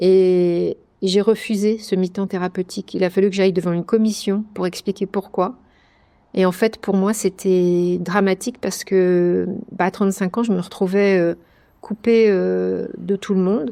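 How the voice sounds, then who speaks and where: A woman speaks at a fairly slow pace in a dark, mellow tone, her medium pitch held in a monotone, flat intonation. The recording is very clean and dry, close with no echo, over a silent background. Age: 60s. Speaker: retired schoolteacher, cancer survivor. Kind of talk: interview testimony. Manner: hesitant, many fillers.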